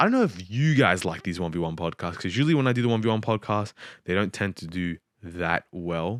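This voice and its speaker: Captured in a dry, close sound with no echo on a very clean recording with a silent background, a man mumbles at a moderate pace. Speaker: podcast host. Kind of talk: solo podcast monologue. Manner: mumbling; halting.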